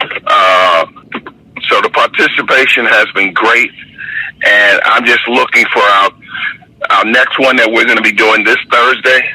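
With noticeable background noise behind him, a man speaks at very even loudness, leaving long, frequent pauses. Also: fairly slow pace. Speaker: basketball referee. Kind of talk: casual chat. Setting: outdoors.

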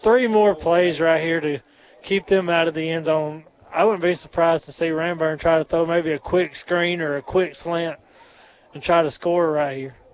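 Fairly even intonation at a moderate pace, over noticeable background noise. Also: man. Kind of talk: live color commentary alongside play-by-play, coach's analysis. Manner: earnest, casual, analytical; halting with filler and restarts.

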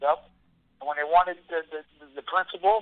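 A man with a New York accent speaks at a moderate pace. His pitch is fairly high and his intonation fairly even. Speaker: mixed martial arts fighter. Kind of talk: interview.

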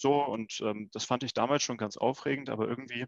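An ordinary speaking voice from a man, fairly quick and fairly even in intonation, with a dry, close sound and no echo. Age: 20s. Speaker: insurance start-up founder. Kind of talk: casual interview.

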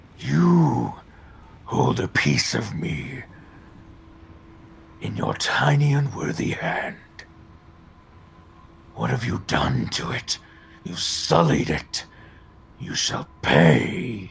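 Putting on a character voice, a man speaks in a very deep, low pitch that is gruff and raspy. His pitch swings very widely, and his pace is very slow. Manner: menacing.

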